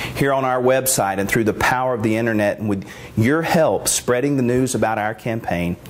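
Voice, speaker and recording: There is noticeable background noise as a man talks at a fairly quick pace. His pitch is medium, with ordinary pitch variation. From US South, Mississippi. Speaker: political candidate. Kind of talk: campaign address.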